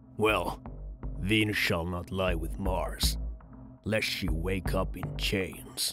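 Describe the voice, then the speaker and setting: A man speaks very slowly in a put-on character voice. Clear music plays in the background. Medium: dub.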